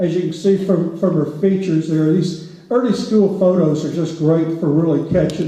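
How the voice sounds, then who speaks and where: A fairly high-pitched male voice at a moderate pace, with ordinary pitch variation and audible room echo. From rural Louisiana. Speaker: historian. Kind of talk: public lecture. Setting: theater stage with audience. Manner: conversational, with frequent fillers.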